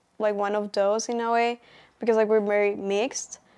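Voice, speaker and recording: Fairly high in pitch, a woman speaks at a moderate pace with fairly even intonation. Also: very clean recording, silent background. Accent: Colombian. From Colombia, Bogota. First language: Spanish. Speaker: college student. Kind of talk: interview answers. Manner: hesitant, many fillers.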